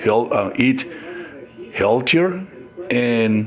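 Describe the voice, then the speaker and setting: Speaking very slowly with a Mexican accent, a man's medium-pitched voice comes through noticeable background noise. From Mexico. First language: Spanish. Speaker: lifestyle vlogger. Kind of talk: casual monologue vlog. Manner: halting, many fillers and restarts.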